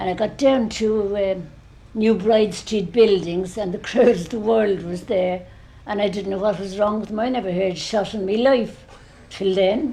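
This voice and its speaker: A woman with a Dublin accent speaks at a moderate pace and medium pitch. Her intonation stays fairly even, and room echo is audible. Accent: Dublin Irish. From Ireland, Dublin. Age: 80s+. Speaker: elderly eyewitness. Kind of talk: oral history interview.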